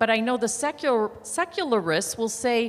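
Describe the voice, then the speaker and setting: A woman speaks loudly at a moderate pace. Her fairly high pitch moves in very wide swings. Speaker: audience member asking a question. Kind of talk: audience question. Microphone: speaking without a microphone.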